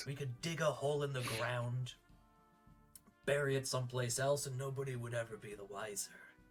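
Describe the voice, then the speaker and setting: A man in a put-on character voice, medium-pitched, at a fairly quick pace with long, frequent pauses, faint music in the background. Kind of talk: tabletop roleplay character voice. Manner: formal, polite.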